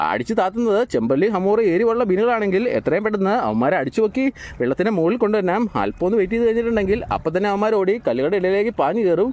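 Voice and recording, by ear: Talking very fast with few pauses, a man uses a high pitch, big pitch swings, and a slightly mellow tone.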